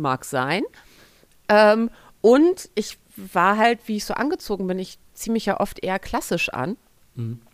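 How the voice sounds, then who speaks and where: A woman at medium pitch with very wide pitch swings, at a fairly slow pace with long, frequent pauses. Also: dry, close sound with no echo. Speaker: podcast co-host. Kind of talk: casual chat.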